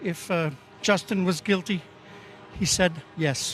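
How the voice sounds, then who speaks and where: A man with a high-pitched voice speaks at a fairly slow pace. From Quebec, Val-d'Or. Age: 60s. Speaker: retired protester. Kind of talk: street interview.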